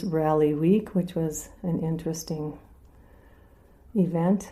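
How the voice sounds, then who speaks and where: A woman's fairly low, dark and mellow voice, fairly even in intonation, at a very slow pace. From North Dakota. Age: 60s. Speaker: local resident telling her story. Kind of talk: personal storytelling interview.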